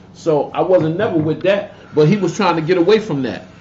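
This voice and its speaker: A man with an American accent has a high pitch. Noticeable background noise sits behind him. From Connecticut, New Haven. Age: 50s. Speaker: YouTuber commentator. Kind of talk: casual livestream rant. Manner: animated.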